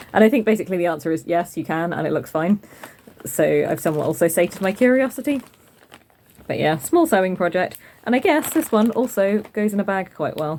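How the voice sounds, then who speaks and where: With a British accent, a woman speaks at a medium pitch and a fairly quick pace, her pitch swinging very widely against noticeable background noise. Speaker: craft podcaster. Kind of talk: casual vlog chat. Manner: fast.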